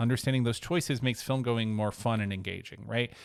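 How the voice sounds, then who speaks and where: A man talks at a very fast pace. The recording is very clean, with a silent background. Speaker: high school teacher. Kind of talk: recorded lesson. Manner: halting.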